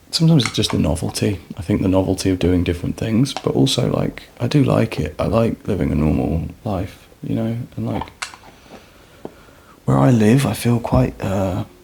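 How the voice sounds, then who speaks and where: A soft-spoken man talks at a moderate pace in a calm tone, his very deep, low voice making very wide pitch swings over noticeable background noise. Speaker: ASMR vlogger. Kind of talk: casual chat.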